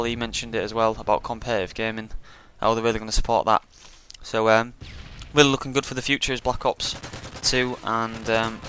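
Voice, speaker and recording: Speaking at a very fast pace, a man with a British accent keeps a monotone, flat intonation. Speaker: pro gamer. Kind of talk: casual commentary. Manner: hesitant, many fillers.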